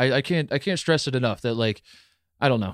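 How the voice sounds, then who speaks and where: This is a man's voice. His pitch is medium. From US Midwest. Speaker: sports podcast host. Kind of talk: casual chat. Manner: mumbles.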